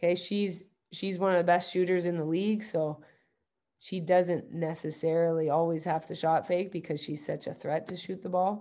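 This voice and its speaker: The voice has a dark, mellow tone and monotone, flat intonation, with a Canadian accent. It moves at a moderate pace against a quiet background. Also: woman. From Ontario, Canada (Guelph). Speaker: university basketball head coach. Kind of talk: coaching workshop presentation. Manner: halting, many fillers and repeats.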